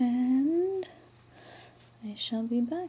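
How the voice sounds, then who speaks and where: Quiet, mumbling speech comes at a very slow pace. Noticeable background noise runs underneath. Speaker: crochet tutorial maker. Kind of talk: casual tutorial talk.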